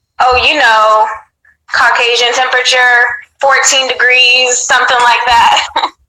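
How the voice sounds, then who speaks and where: In a room with audible echo, a woman speaks fairly slowly at a high pitch. Her intonation is monotone and flat, and her loudness stays very even. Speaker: caller. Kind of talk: casual chat.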